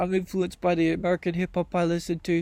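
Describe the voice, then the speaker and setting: A man talks at a high pitch with monotone, flat intonation. The recording is very clean, with a silent background. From UK. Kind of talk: monologue vlog, preaching.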